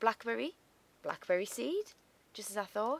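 With a British accent, a woman speaks at a moderate pace in a fairly high pitch that swings very widely. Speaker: gaming YouTuber. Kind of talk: gameplay commentary. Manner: casual, relaxed.

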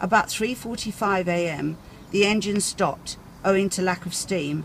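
The speech moves at a moderate pace, with light background noise behind it. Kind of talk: reading a document aloud. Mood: careful, some stumbles. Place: street.

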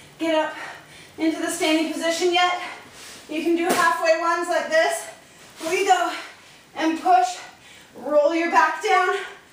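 Monotone, flat intonation at a fairly slow pace, with audible room echo and light background noise. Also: woman. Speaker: fitness instructor. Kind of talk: workout tutorial. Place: garage. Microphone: camera far.

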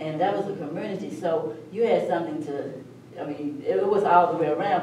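Over light background noise and audible room echo, a woman speaks at a fairly low pitch and a fairly quick pace. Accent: Southern US. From US South (Virginia). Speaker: community elder. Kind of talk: oral history round table. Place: meeting room. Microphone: camera far.

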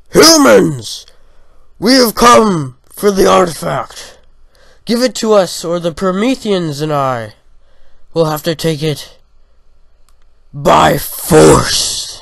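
A man uses a put-on character voice with a high pitch. He talks at a very slow pace, with long, frequent pauses. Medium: audio drama. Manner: commanding, menacing.

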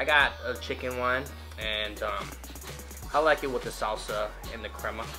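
Clear music sounds in the background. Over it, a man talks at a moderate pace. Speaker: food vlogger. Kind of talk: casual vlog chat. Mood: relaxed, cheerful. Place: home room. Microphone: phone near.

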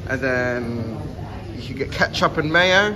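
A man talking at a fairly slow pace amid loud background noise. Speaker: vlogger. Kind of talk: casual vlog chat. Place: shop. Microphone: phone near.

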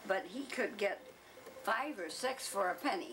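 The speaker talks at a fairly slow pace with an American accent over noticeable background noise. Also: woman. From Michigan, USA. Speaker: oral history interviewee. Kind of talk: oral history interview answer. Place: home room.

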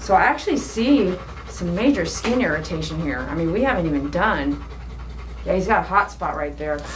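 A woman's pitch swings very widely as she talks fairly quickly, with noticeable background noise behind her. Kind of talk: tutorial commentary while working. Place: shop. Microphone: camera far.

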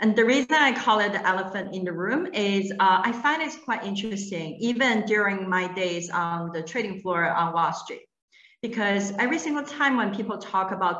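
A woman talks at a moderate pace in an enthusiastic tone, with audible room echo over a quiet background. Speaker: panel moderator. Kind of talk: virtual panel discussion. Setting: video call. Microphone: video call.

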